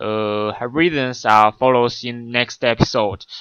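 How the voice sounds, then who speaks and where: A man with a Chinese accent, fairly slow in pace, bright and sharp in tone. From China. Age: 20s. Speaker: university student podcaster. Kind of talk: solo monologue. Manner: halting.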